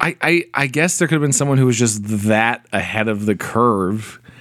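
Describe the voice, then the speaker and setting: A man's normal speaking voice, medium in pitch, with lively intonation, very even loudness and a moderate pace. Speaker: podcast co-host.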